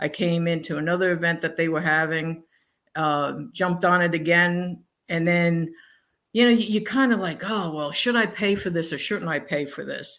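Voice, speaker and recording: In a very clean recording with a silent background, a woman has an ordinary speaking voice, a fairly low pitch and ordinary pitch variation. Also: moderate pace. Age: 60s. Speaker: alternative medicine practitioner and coach. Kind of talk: interview.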